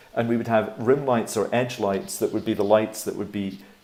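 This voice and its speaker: The speaker talks at a fairly quick pace with fairly even intonation in a Scottish accent. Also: man. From Scotland, Edinburgh. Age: 60s. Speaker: animator. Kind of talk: presentation talk.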